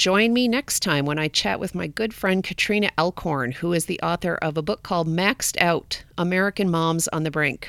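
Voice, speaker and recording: A woman talks at a fairly quick pace in a plain, everyday voice, her intonation lively. The recording is very clean, with a silent background. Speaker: podcast host. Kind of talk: scripted monologue; interview.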